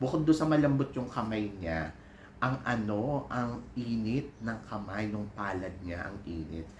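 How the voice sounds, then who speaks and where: Somewhat breathy and fairly low-pitched, a man talks at a fairly slow pace with lively intonation amid audible room echo. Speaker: vlogger and PE teacher. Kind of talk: casual vlog chat. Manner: animated.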